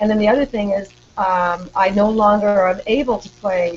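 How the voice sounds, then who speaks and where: A woman speaks at a medium pitch. Noticeable background noise can be heard. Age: 60s. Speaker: retired teacher and author. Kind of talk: casual interview chat.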